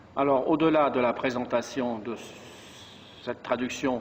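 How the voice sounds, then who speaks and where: A man speaks at a moderate pace with a medium pitch. His intonation stays fairly even, broken by long, frequent pauses. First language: French (speaking Romanian). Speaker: monk, book launch speaker. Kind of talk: formal speech. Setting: book launch event.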